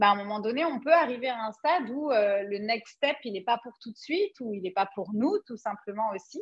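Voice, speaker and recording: At a moderate pace, a woman talks with lively intonation and a fairly high pitch. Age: 40s. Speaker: Human Design coach. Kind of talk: casual interview chat.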